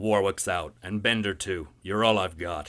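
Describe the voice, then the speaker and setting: Bellowing in a put-on character voice, a man speaks at a moderate pace with a very deep, low pitch and fairly even intonation on a very clean recording with a silent background. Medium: read story. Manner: gruff, bossy.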